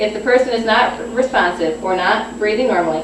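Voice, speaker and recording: A woman with a fairly high pitch talks at a moderate pace, her pitch varying in an ordinary way, while noticeable background noise carries on. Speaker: nursing student. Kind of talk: informative class speech. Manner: slight stuttering.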